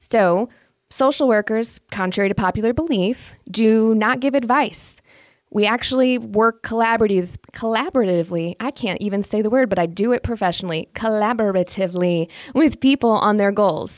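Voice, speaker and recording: Dry and close with no echo, an animated voice in a Midwestern American accent moves at a moderate pace. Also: woman, fairly high pitch for a woman, ordinary pitch variation. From US Midwest, Indiana. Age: middle-aged. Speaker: podcast host and social worker. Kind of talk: advice podcast monologue.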